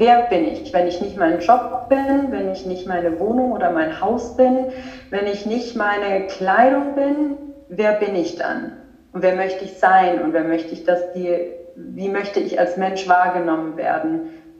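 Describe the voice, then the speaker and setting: With audible room echo and noticeable background noise, a woman talks at a medium pitch with lively intonation. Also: fairly slow pace. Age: 30s. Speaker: spirituality coach. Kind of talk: casual chat.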